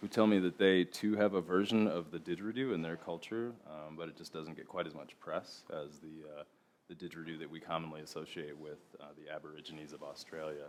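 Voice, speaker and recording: A man mumbles at a very fast pace in a very deep, low pitch. His loudness swings widely. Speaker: didgeridoo maker and musician. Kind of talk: TEDx talk. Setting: stage with audience. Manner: mumbling; monotone.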